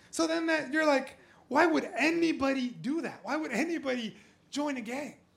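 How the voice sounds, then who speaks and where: Audible room echo surrounds a speaker with an American accent. The pace is moderate and the pitch varies in an ordinary way. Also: man, extremely high pitch for a man. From Southern California. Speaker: pastor. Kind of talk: sermon. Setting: church with congregation.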